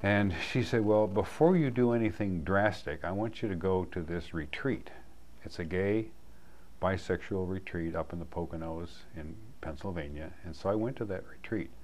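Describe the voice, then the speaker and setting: The room echo is audible around this man's speech. His pitch is very deep and low, with ordinary variation. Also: moderate pace. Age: 70s. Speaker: community group member sharing life story. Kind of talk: personal testimony.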